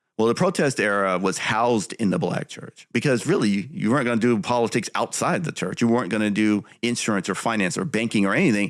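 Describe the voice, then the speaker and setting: Very fast, lively-toned speech in an American accent, with hardly any pauses. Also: man. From US West Coast. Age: 50s. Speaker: writer and commentator. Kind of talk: interview.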